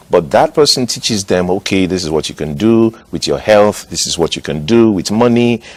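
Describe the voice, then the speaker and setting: A man with a Nigerian accent speaks at a fairly low pitch and moderate pace, with hardly any pauses. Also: lively intonation. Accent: Nigerian (Yoruba) English. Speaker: pastor. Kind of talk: TV interview.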